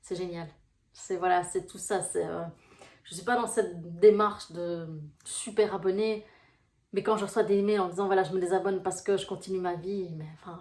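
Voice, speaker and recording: At a moderate pace and medium pitch, a woman speaks in a flat monotone, with long, frequent pauses and big swings in loudness. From Belgium, Brussels. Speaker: life coach. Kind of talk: casual vlog talk to viewers. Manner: hesitant, many fillers.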